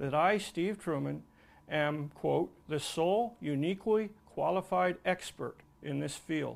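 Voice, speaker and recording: A normal speaking voice at a fairly slow pace with ordinary pitch variation, on a very clean recording with a silent background. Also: man, fairly high pitch for a man. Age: 60s. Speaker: retired commercial diver and tugboat museum owner. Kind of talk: testimony. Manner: formal.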